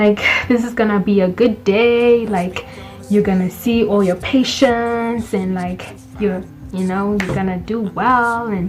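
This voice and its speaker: Music plays in the background as a woman speaks. Her intonation is fairly even and her pace fairly slow. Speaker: medical student vlogger. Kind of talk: storytelling vlog.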